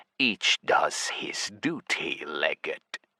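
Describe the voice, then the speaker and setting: A man's put-on character voice, growling and extremely high-pitched. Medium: read story. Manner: cold, curt.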